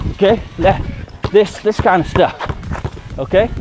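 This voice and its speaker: A man with a high voice speaks over noticeable background noise, the sound dry with no echo. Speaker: streetball coach. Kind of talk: tutorial. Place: garden.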